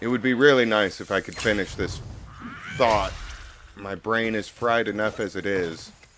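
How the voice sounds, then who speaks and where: A man speaks quietly at a moderate pace in a fairly low voice, his intonation fairly even, with long, frequent pauses and noticeable background noise. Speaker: gaming video creator. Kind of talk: let's play commentary.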